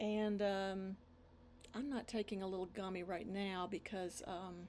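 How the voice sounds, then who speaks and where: A woman speaks in a monotone with flat intonation. Her pace is fairly slow. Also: medium pitch for a woman. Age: 60s. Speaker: pastor. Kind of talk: casual bible study. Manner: halting.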